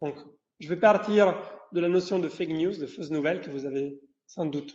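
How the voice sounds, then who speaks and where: Amid audible room echo, a man with a high-pitched voice talks at a moderate pace. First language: Italian (speaking French). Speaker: professor. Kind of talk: lecture. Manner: halting, with many fillers and repetitions.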